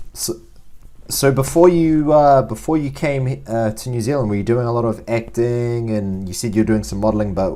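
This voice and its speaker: With noticeable noise behind him, a man speaks in a medium pitch at a moderate tempo, his pitch varying in an ordinary way. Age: young. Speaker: podcast host. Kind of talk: interview. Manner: halting.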